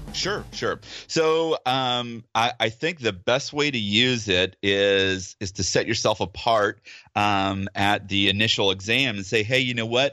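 A man with a normal speaking voice talks at a fairly low pitch and a fairly slow pace, with ordinary pitch variation. The background is quiet. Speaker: dentist guest. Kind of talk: casual interview chat.

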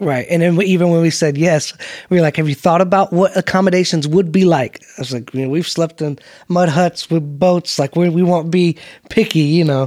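Fairly quick and fairly even in intonation, the speech carries a Southern US accent in a dry, close sound with no echo. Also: man, high pitch for a man. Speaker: missionary. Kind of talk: casual chat.

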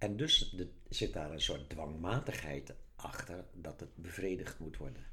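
Very deep, low pitch from a man with vocal fry, a bright, sharp tone and ordinary pitch variation, at a fairly slow pace amid audible room echo. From Netherlands, Zeeland. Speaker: author. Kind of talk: casual chat.

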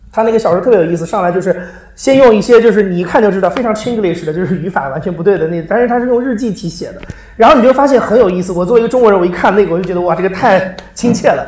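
A man's high-pitched voice at a very fast pace, with ordinary pitch variation, audible room echo and noticeable background noise. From China. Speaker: podcast producer. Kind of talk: live public talk. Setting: stage with audience.

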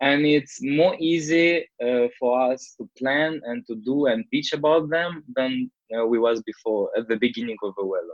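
The man talks fairly slowly, his pitch fairly high and varying an ordinary amount. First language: not English. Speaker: tech startup founder. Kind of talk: interview. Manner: halting.

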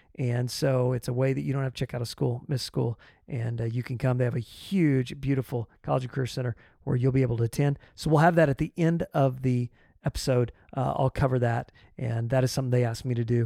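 On a very clean recording with a silent background and a dry, close sound free of echo, a man speaks very fast at a medium pitch, with a dark, mellow tone and fairly even intonation. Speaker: podcast host and test prep coach. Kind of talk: interview, casual chat.

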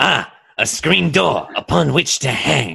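A man's cartoonish character voice at medium pitch and a fairly slow pace. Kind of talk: impression of a cartoon cat's voice. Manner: lazy, sarcastic.

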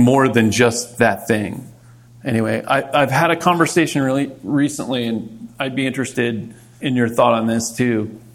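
A normal speaking voice moves along at a moderate pace. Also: man. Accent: American. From Maryland, Montgomery County. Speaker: retired army ranger and rock musician. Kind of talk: casual interview chat.

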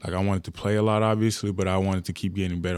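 In a very clean recording with a silent background, a man speaks with a very deep, low pitch and monotone, flat intonation. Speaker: college basketball player. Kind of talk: interview.

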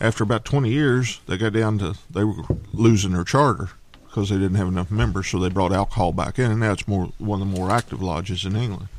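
Fairly low in pitch, a man rattles along at a very fast pace with ordinary pitch variation amid noticeable background noise. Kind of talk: casual banter.

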